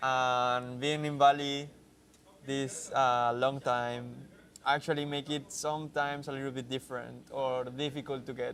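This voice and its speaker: A man's fairly high voice at a moderate pace. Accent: Spanish. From Mexico. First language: Spanish. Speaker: software developer. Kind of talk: live stream casual chat. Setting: coworking space. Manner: halting.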